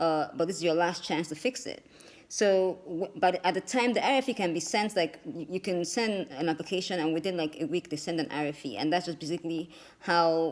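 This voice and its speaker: This woman has a fairly low pitch. She talks at a fairly quick pace with ordinary pitch variation. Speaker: immigration attorney. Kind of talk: explainer video. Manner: fast.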